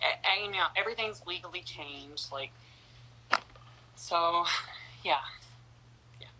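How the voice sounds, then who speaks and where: A woman's fairly low voice at a fairly slow pace, with long, frequent pauses and big swings in loudness. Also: ordinary pitch variation. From North Carolina. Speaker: interview guest. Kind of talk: interview.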